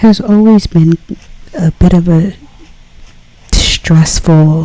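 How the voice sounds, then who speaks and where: Soft-spoken and fairly low-pitched, a woman talks at a very slow pace with fairly even intonation over noticeable background noise. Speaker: ASMR artist. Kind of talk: casual ASMR talk while drawing.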